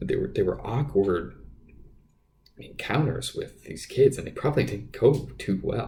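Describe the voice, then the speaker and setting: A man talks at a fairly slow pace. His loudness swings widely. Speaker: podcast host. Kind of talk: casual monologue. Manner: halting, many fillers and repeats.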